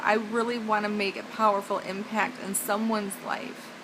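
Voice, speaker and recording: Noticeable background noise accompanies a woman with a fairly high pitch. She speaks at a moderate pace in a monotone, flat way. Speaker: evangelistic speaker. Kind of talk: evangelistic spoken-word sermon.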